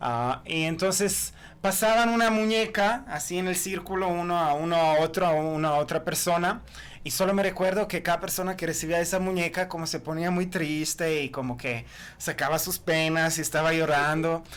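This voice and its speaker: This man's voice sits high in pitch, moving at a moderate pace with ordinary variation in pitch. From Croatia. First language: Croatian (speaking Spanish). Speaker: author and historian. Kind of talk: podcast interview. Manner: halting.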